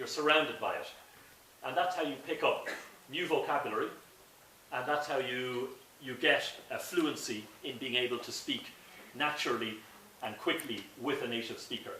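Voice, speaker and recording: A man with an Irish accent, long and frequent pauses, audible room echo and noticeable background noise. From Ireland. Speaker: director of an English language school. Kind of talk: presentation to an audience. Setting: talk at a school in St Petersburg with audience. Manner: slow, clear for language learners.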